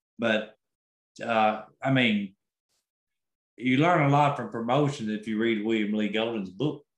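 There are long, frequent pauses as a man talks at a fairly slow pace with ordinary pitch variation. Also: medium pitch for a man. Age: 60s. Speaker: concert promoter. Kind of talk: interview.

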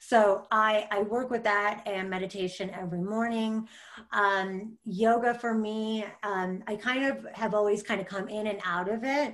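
A woman with an American accent has an unremarkable speaking voice at a fairly high pitch, with fairly even intonation and a fairly slow pace. The recording is very clean, with a silent background. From US Midwest, small-town Michigan. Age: 30s. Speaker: spiritual guide and podcast co-host. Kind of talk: casual interview chat.

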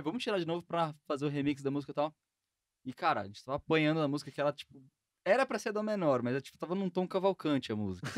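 A man talks very fast in a fairly high pitch with lively intonation and big swings in loudness. The sound is dry and close, with no echo. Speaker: podcast host. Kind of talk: casual podcast chat.

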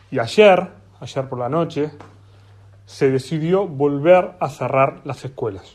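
A man's fairly high voice at a very slow pace, with long, frequent pauses and ordinary pitch variation. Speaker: podcast host. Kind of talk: opinion monologue. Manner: impassioned.

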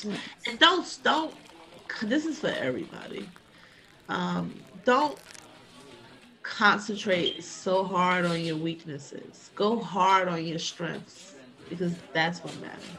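A woman's very slow speech with long, frequent pauses, big swings in loudness, audible room echo and noticeable background noise. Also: medium pitch for a woman, lively intonation. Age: 40s. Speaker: podcast host's mother, college graduate. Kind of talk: casual chat.

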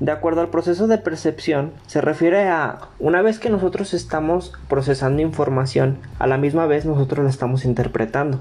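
A man with a fairly high pitch speaks at a moderate pace with hardly any pauses, a somewhat breathy quality, very even loudness and ordinary pitch variation. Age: 20s. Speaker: university student. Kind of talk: student presentation podcast.

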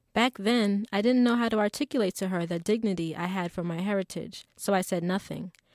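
A plain, everyday voice: a woman at medium pitch with an American accent, a fairly quick pace and ordinary pitch variation, dry and close with no echo, on a very clean recording with a silent background. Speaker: essayist reading her own essay. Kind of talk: literary audiobook reading, a personal essay read aloud. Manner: earnest, proud, measured and expressive.

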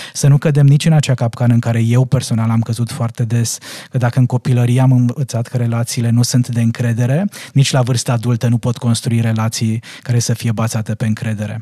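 A man at medium pitch talks at a fairly quick pace in a monotone, flat delivery. His tone is dark and mellow and somewhat breathy. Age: 40s. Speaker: parenting coach. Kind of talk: casual chat. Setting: studio.

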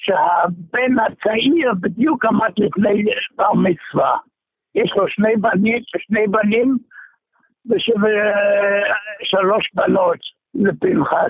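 A man speaks at a very slow pace with long, frequent pauses. His pitch is high, with ordinary variation and very even loudness. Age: 90s. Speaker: longtime synagogue congregant. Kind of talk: phone interview.

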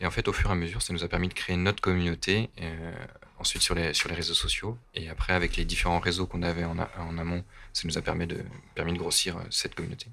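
The voice has a bright, sharp tone and flat, monotone intonation, moving at a very fast pace. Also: man, very deep, low pitch for a man. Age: 30s. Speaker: shopkeeper. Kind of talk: casual interview. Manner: halting.

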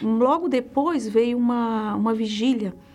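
Ordinary pitch variation marks the woman's fairly high voice. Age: 40s. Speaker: church member. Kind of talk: testimony. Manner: halting.

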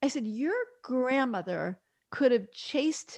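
In an American accent, a woman with an ordinary speaking voice talks at a moderate pace with ordinary pitch variation, the sound dry and close with no echo against a quiet background. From New York. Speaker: physician and midwife. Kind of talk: interview.

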